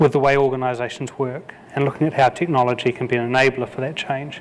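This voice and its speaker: A man in a New Zealand accent, fairly quick and in a flat monotone. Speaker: conference keynote speaker. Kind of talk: keynote speech. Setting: conference stage with audience. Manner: halting, with repeated words.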